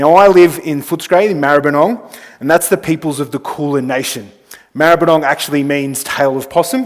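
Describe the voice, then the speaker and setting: Talking in an Australian accent at a fairly quick pace, a man uses a fairly high pitch with ordinary pitch variation. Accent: thick Australian. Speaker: travel company executive. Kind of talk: conference presentation.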